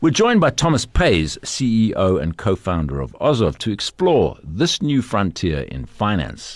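Over a quiet background, a man with a fairly low pitch and vocal fry talks at a moderate pace, his pitch swinging very widely. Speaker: podcast host. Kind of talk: interview. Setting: studio.

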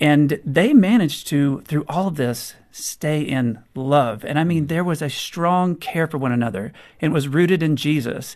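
A man with an American accent has a plain, everyday voice, fairly high in pitch with ordinary pitch variation. He talks at a moderate pace against a quiet background. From US South. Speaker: author. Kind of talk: interview.

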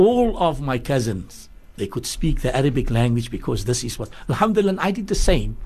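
A man with a fairly high, somewhat breathy voice talks at a moderate pace, his pitch swinging very widely. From Cape Town, South Africa. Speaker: religious scholar. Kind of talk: radio interview.

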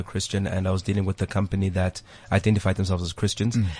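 A man with a fairly low voice talks at a very fast pace. His delivery is somewhat breathy. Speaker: radio host. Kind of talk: casual chat. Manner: animated.

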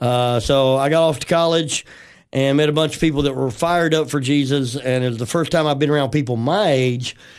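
A man with a Southern US accent talks at a fairly quick pace in a fairly high pitch with fairly even intonation, against a quiet background. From West Tennessee. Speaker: pastor. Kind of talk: casual chat.

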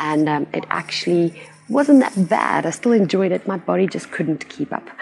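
Noticeable background noise surrounds a woman's voice. Her pitch is fairly low and swings very widely. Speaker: business coach and podcast host. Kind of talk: solo podcast monologue. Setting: recording outdoors.

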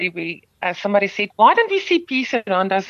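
A woman's bright, sharp voice in a South African accent, very fast, with very wide pitch swings and a dry, close sound with no echo. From South Africa, Overberg near Cape Town. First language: Afrikaans. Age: middle-aged. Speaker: singer. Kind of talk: radio interview. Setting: radio studio.

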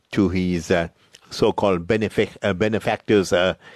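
A man's very deep, low voice at a moderate pace, with ordinary pitch variation and a dry, close sound free of echo. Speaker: radio presenter. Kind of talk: radio introduction. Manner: halting.

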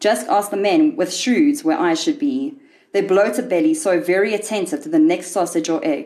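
Speaking at a moderate pace, a woman uses a medium pitch with very wide pitch swings. Her loudness stays very even. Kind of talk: literary audiobook reading of a short story. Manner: measured, wry and darkly ironic storyteller's delivery.

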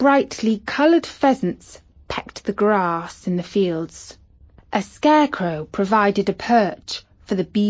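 This is plain reading aloud. Its intonation moves with liveliness.

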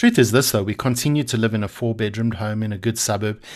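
The speech runs at a very fast pace with fairly even intonation against a quiet background. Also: man. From South Africa. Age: 40s. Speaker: podcast host. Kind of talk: reflective monologue.

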